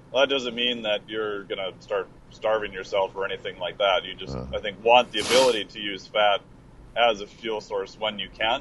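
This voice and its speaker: A man speaks at a moderate pace, fairly low in pitch. It is an unremarkable speaking voice with ordinary pitch variation. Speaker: exercise physiologist. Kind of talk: casual chat. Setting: remote call from the road.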